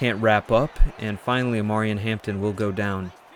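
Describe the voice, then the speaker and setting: Over noticeable background noise, a man with a medium pitch speaks at a fairly quick pace. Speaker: gaming YouTuber. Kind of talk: gameplay commentary. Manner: stuttering at times.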